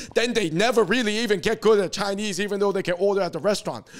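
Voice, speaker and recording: With an American accent, a man talks at a very fast pace. His pitch is high. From US. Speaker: podcast host. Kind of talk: casual chat. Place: studio. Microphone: handheld.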